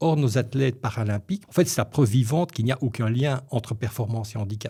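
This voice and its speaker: In a very clean recording with a silent background, a man speaks at a fairly quick pace in a dark, mellow tone that is somewhat breathy. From Belgium, Brussels (Molenbeek). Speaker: media and marketing consultant. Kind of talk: podcast interview. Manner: hesitant, with false starts.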